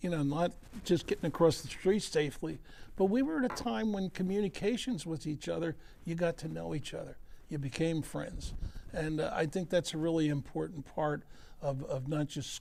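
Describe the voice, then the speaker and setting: With an American accent, a man speaks at fairly high pitch with ordinary pitch variation. His tone is dark and mellow. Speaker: retired sports executive and charity founder. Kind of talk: interview. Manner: fast; animated.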